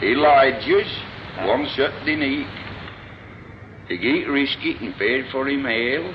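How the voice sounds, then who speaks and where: Amid noticeable background noise, a man talks at a fairly slow pace with a fairly high pitch, ordinary pitch variation and long, frequent pauses. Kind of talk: reminiscing anecdotes.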